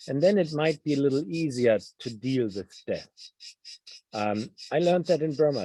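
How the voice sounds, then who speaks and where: Dry and close with no echo, a man with a German accent speaks at a fairly quick pace in a dark, mellow tone with ordinary pitch variation. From Germany. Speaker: novelist. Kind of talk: Q&A interview. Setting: video call. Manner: halting.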